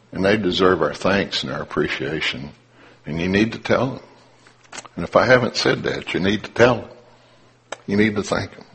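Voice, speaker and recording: Amid noticeable background noise, a man with a fairly low pitch talks at a moderate pace, with lively intonation, big swings in loudness, and long, frequent pauses. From Appalachia (coal country). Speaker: lay preacher. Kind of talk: sermon.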